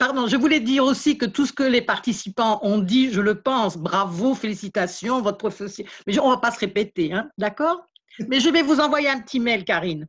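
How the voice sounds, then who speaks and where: Against a quiet background, a woman uses an unremarkable speaking voice, fairly high in pitch, with lively intonation. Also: moderate pace. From Belgium, Liège. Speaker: beekeeper, contest winner. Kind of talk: thank-you speech at online event.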